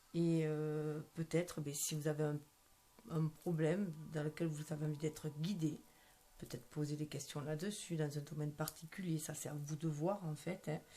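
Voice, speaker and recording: A soft-spoken woman talks at a moderate pace in a very deep, low pitch. Her tone is dark and mellow, and her intonation is monotone and flat. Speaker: tarot card reader. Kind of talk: tarot reading. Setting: at home at night. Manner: hesitant, many fillers.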